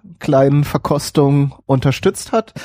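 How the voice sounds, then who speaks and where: At a moderate pace, a man speaks with a dark, mellow tone and a fairly high pitch. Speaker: podcast host. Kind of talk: casual chat. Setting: live stream with chat.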